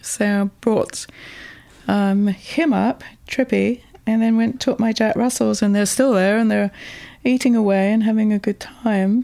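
A woman's dark, mellow, fairly high voice, fairly slow, with fairly even intonation and very even loudness. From Birmingham, England, with Welsh family. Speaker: literacy professor and author. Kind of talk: interview. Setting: her apartment.

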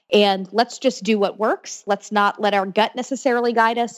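A woman with an American accent talks at a fairly quick pace. Music plays in the background, and the sound is dry and close with no echo. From Florida (Orlando). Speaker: pollster and political commentator. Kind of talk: interview.

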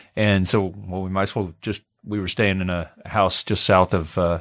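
The recording is very clean with a silent background and a dry, close sound with no echo. A man with a Midwestern American accent speaks in a fairly low pitch with monotone, flat intonation. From southern Indiana, US. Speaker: amateur golfer. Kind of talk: casual chat. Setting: studio. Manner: halting, many fillers.

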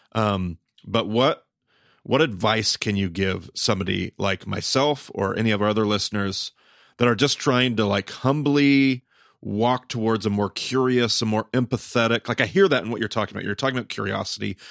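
This man's voice sits at a medium pitch with ordinary variation and moves at a moderate pace. It is an unremarkable speaking voice, recorded dry and close with no echo. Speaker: podcast host, Bible teacher. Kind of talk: podcast interview.

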